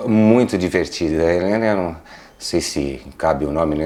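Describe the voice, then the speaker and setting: Noticeable background noise runs under this clip. A man speaks at a fairly quick pace in a very deep, low pitch with ordinary pitch variation. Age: 50s. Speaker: interviewee, son of a plant grower. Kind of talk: interview. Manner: halting.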